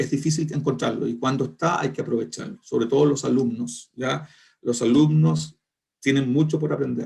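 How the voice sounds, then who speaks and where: A man with a Chilean accent speaks at a moderate pace and medium pitch, with vocal fry and lively intonation. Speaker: foreign trade lecturer. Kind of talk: online lecture closing remarks. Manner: colloquial; halting.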